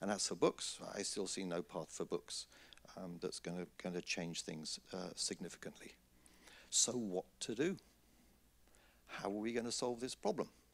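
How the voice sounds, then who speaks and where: A man talks at a moderate pace with a fairly low pitch, ordinary pitch variation, and long, frequent pauses. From Britain. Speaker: conference speaker on scholarly publishing. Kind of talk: conference talk. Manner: hesitant, frequent fillers.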